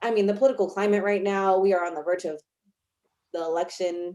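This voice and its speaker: The speaker is a woman with a fairly low pitch. Her intonation stays fairly even. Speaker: college instructor. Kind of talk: casual discussion. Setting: video call. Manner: fast.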